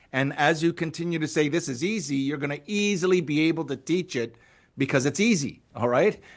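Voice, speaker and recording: Against a quiet background, a man with a fairly high pitch speaks in an animated tone at a moderate pace with ordinary pitch variation. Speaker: network marketing trainer. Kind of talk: training presentation to live online audience.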